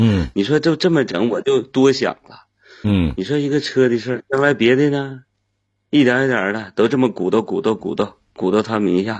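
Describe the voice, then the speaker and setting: A man with a mid-range pitch talks animatedly at an average speed. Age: 40s. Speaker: caller, sales manager. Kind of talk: call-in conversation.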